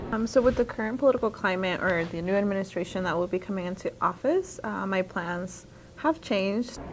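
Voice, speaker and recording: A plain, everyday voice from a woman at medium pitch, fairly quick pace and ordinary pitch variation. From Colorado, US (born in Mexico). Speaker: student. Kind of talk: documentary interview testimony.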